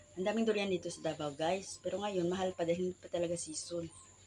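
A woman's animated, very fast speech at medium pitch, over noticeable background noise. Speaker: vlogger. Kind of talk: casual vlog.

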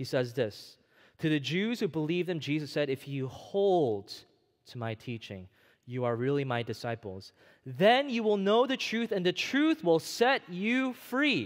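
Fairly high-pitched male voice at a fairly slow pace against a quiet background. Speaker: preacher. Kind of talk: sermon. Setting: church. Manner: animated, call-and-response; earnest, direct. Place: church.

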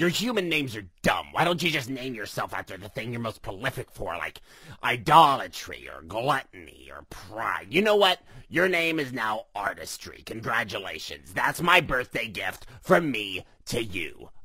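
A man puts on a cartoonish character voice at a medium pitch. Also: moderate pace. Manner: sarcastic, dismissive.

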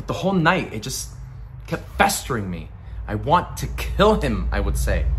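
Over light background noise, a gravelly male voice moves at a moderate pace with big swings in loudness. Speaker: actor performing a monologue. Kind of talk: dramatic monologue, acted performance of a character. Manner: gritty, intense, conversational storytelling. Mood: bitter, angry recollection. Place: home room. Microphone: phone near.

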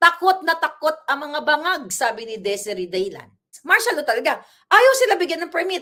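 Angry in tone, a woman speaks at a moderate pace in a raised, projected voice at an extremely high pitch with very wide pitch swings. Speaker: political commentator. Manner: angry, fiery; emphatic, rhetorical.

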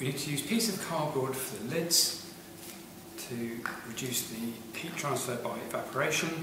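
Noticeable background noise and audible room echo surround a man speaking at a moderate pace. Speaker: science teacher. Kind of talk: tutorial. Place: classroom. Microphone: camera far.

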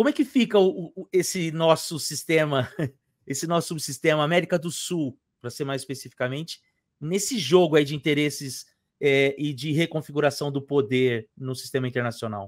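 Against a quiet background, a man speaks with a fairly high pitch and ordinary pitch variation, the sound dry with no echo. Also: moderate pace. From Brazil. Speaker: history professor and YouTuber; history professor, YouTuber. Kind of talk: interview; interview questions. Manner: hesitant, repeats words. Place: home room.

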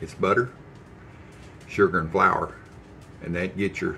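Light background noise sits behind a man's voice. He speaks at a fairly quick pace with ordinary pitch variation. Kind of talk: casual cooking tutorial chat. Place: kitchen. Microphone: phone near.

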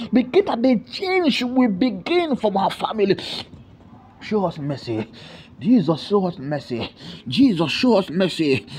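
The speech moves at a fairly slow pace with long, frequent pauses. Noticeable background noise sits behind it. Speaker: prayer leader. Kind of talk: fervent intercessory prayer. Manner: fervent, repetitive, pleading.

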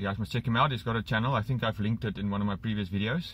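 The sound is dry with no echo as a man speaks. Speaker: vlogger. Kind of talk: casual vlog chat. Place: car. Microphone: phone near.

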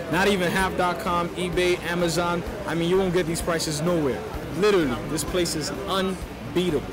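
Fairly quick male speech with music in the background. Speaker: interviewee. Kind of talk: interview answer. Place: hall. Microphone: handheld.

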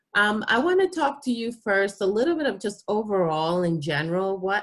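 Speaking with a Spanish accent, a woman talks at a moderate pace in a cheerful tone. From Panama. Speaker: university admissions staff. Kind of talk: informational presentation. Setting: video call. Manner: cheerful, laughs often.

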